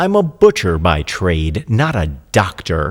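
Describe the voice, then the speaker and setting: In a put-on character voice, a man growls at a very deep, low pitch and a fairly slow pace on a very clean recording with a silent background. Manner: growling.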